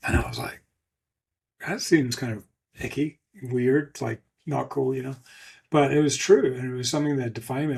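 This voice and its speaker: The man's pitch sits in the medium range, with fairly even intonation. His voice is somewhat breathy. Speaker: ultramarathon swimmer and motivational speaker. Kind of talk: podcast interview testimony.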